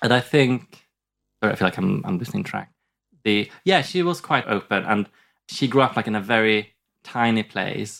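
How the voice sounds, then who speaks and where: Using lively intonation, a man with a Swedish accent speaks at medium pitch and a moderate pace, taking long, frequent pauses, on a very clean recording with a silent background. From southern Sweden. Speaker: comedian. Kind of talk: casual chat. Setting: studio.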